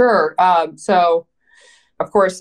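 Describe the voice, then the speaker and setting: A woman speaks with ordinary pitch variation. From Canada, Vancouver. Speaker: private equity investor. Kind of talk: interview.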